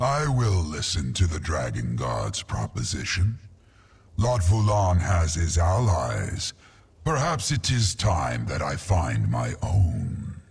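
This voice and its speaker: In a put-on character voice, a man speaks at a fairly slow pace, his very deep, low pitch making very wide swings. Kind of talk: epic fantasy game voice acting. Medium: video game. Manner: proud, solemn, deliberate.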